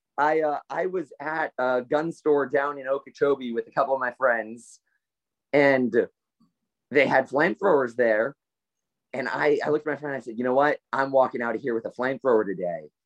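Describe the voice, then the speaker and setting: A plain, everyday voice with an American accent, fairly quick, with ordinary pitch variation, in a dry, close sound with no echo. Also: man, medium pitch for a man. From South Florida (Stuart). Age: 20s. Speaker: economics student and libertarian writer. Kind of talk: casual interview.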